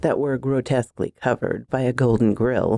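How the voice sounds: With fairly even intonation, this is a natural reading voice.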